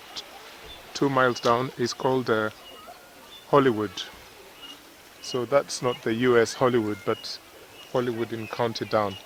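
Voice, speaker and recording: A man at medium pitch with a non-native accent, moderate pace, fairly even intonation, long, frequent pauses and noticeable background noise. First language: not English. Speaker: travel vlogger. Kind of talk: casual walking vlog narration. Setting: outdoors at the seaside.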